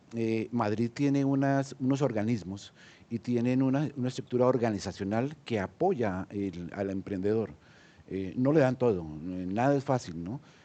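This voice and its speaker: Over a quiet background, a man with a Colombian accent speaks fairly slowly at a medium pitch, his dark, mellow tone carried by lively intonation. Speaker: senior entrepreneur. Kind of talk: panel discussion. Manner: hesitant, many fillers.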